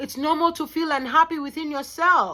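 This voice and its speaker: A raised, projected voice with a bright, sharp tone. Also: woman. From Kenya. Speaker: lifestyle vlogger. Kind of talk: personal vlog monologue. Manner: loud, aggressive-sounding delivery; repetitive, halting restarts.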